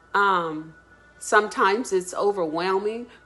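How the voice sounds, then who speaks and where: Against noticeable background noise, a woman talks at a very slow pace and a medium pitch. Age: 60s. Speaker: dance student. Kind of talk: testimonial.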